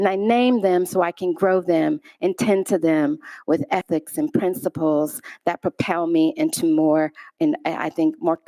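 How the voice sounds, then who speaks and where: A woman with an American accent, fairly low in pitch with a dark, mellow tone, ordinary pitch variation, very even loudness and a moderate pace, in a very clean, dry, close recording with no echo and a silent background. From US Midwest, Chicago. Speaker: artist. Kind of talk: lecture.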